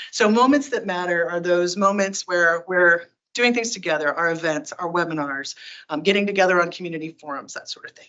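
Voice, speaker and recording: A woman's fairly low voice shows ordinary pitch variation and big swings in loudness. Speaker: tech company community advocate giving a talk. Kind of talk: presentation to user group. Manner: fast; animated.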